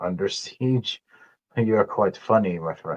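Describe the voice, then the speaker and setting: A man puts on a gruff character voice at a medium pitch and a fairly slow pace. The sound is dry and close, with no echo. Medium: actual play.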